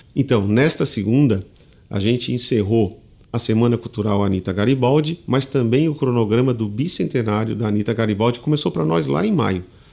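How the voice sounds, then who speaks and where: Medium in pitch with a dark, mellow tone, a man speaks at a fairly quick pace with ordinary pitch variation. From southern Brazil (Tubarão, Santa Catarina). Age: 40s. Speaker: head of municipal culture foundation. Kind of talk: interview.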